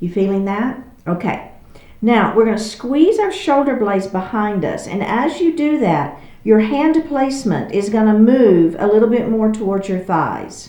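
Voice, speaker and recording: A woman with a Texas accent and a fairly high pitch uses lively intonation, with audible room echo and noticeable background noise. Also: moderate pace. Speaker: yoga instructor. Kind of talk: guided exercise class.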